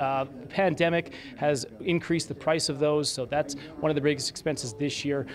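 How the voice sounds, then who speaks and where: A man speaks at a fairly quick pace with ordinary pitch variation. There is light background noise. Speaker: TV news reporter. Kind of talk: live news report. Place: hall. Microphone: handheld.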